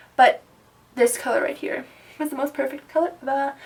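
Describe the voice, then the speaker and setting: Over noticeable background noise, a woman speaks in a high voice. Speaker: makeup vlogger. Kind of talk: makeup tutorial talk-over. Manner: soft-spoken; casual.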